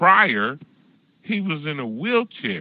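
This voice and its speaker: His pitch swinging very widely, a man with an American accent speaks at a fairly slow pace. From California. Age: 60s. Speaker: call-in show host. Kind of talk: casual chat. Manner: animated.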